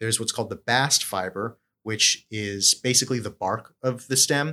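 A man with an American accent speaks at a medium pitch in a bright, sharp tone. The recording is very clean, with a silent background. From North Carolina from about age ten. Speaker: agricultural scientist, extension specialist. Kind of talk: interview.

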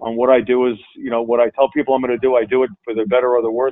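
A man speaks at a medium pitch with a New York accent. His intonation stays fairly even. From Long Island, New York. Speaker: insurance company CEO. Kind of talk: interview. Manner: halting, many fillers.

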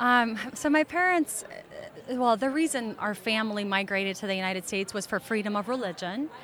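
Over noticeable background noise, a woman talks at a fairly quick pace, with a fairly high pitch and lively intonation. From Moldova, moved to US at eight. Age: 20s. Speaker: immigrant sharing family story. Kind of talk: interview.

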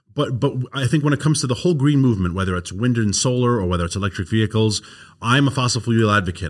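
Speaking very fast with lively intonation, a man with a strong New York accent keeps a fairly low pitch on a very clean recording with a silent background. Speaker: energy advocacy nonprofit founder.

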